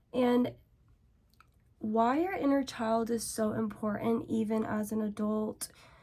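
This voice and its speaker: Speaking fairly slowly with long, frequent pauses, a woman uses a fairly high voice over noticeable background noise. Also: fairly even intonation. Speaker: beauty and self-help vlogger. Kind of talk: casual get-ready-with-me rant.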